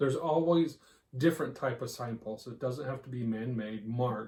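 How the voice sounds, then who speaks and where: Somewhat breathy, with a dark, mellow tone, a man speaks at medium pitch with an American accent. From Texas, US. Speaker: podcast co-host. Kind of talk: casual chat.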